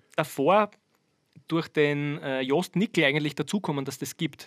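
A man in a Styrian accent talks at a moderate pace with fairly high pitch and ordinary pitch variation, the sound dry and close with no echo. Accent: Styrian Austrian German. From Austria, Styria (Birkfeld). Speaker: drummer. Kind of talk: casual interview. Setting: remote call from parents' ranch.

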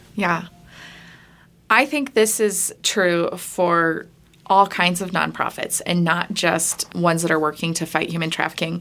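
On a very clean recording with a silent background, a woman with a General American accent speaks at a fairly slow pace in a fairly low pitch, showing vocal fry and ordinary pitch variation. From Colorado. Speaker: nonprofit marketing director. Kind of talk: podcast interview. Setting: studio, in person.

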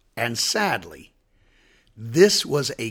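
Somewhat breathy, a man speaks at a very slow pace with very wide pitch swings. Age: 60s. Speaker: pastor. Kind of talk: devotional podcast answering a Bible question.

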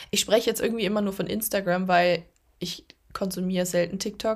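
A woman speaks at a fairly quick pace and medium pitch in a plain, everyday voice. The recording is very clean, with a silent background. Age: 20s. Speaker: podcast host, social media creator and coach. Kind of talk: solo podcast monologue. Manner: casual, filler-heavy.

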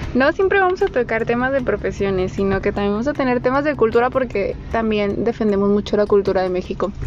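Very fast and with hardly any pauses, a woman talks at a fairly high pitch with lively intonation over noticeable background noise. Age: 20s. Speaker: podcast co-host, psychologist. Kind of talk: casual chat.

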